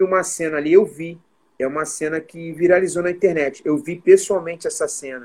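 Talking at a fairly quick pace, a man uses a high pitch with ordinary pitch variation and big swings in loudness. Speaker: podcast host. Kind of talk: casual chat.

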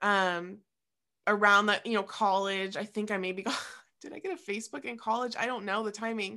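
In a very clean recording with a silent background, a woman with a medium pitch and a normal speaking voice talks at a fairly quick pace. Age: 20s. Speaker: co-host, coach. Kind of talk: casual chat.

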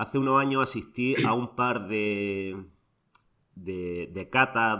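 The voice has a bright, sharp tone and ordinary pitch variation, recorded very cleanly against a silent background. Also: man. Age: 40s. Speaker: podcast host, rugby referee. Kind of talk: casual interview.

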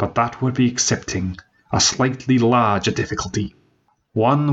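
Quiet surroundings behind a natural reading voice

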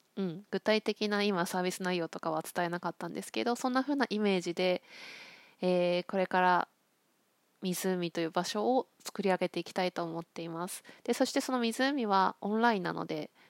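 A woman with a normal speaking voice talks at a moderate pace, her medium pitch showing ordinary variation. The sound is dry and close with no echo, in a very clean recording with a silent background. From Akita, Japan. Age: 40s. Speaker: counselor. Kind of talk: solo podcast monologue. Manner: relaxed, many fillers.

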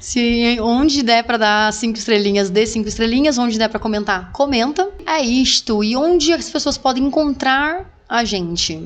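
A woman's fairly high voice with lively intonation, a plain, everyday voice at a moderate pace and hardly any pauses. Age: 30s. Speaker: podcast host. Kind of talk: casual chat.

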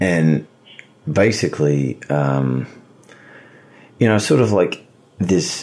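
A man's very deep, low voice with lively intonation, over noticeable background noise. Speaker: podcast co-host. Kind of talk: casual chat. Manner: halting, with many fillers.

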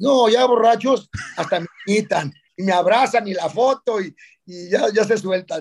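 A man speaks with a Mexican accent. His voice is high-pitched, with ordinary pitch variation. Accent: Mexican Spanish (Jalisco). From Mexico, Guadalajara, Jalisco. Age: 60s. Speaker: dentist and social media influencer. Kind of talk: casual interview chat.

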